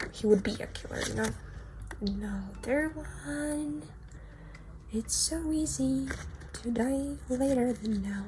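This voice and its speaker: Over noticeable background noise, the speech goes at a very slow pace with long, frequent pauses. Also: woman. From Ukraine. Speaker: artist, content creator. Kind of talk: casual sketchbook tour narration. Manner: casual, hesitant with fillers.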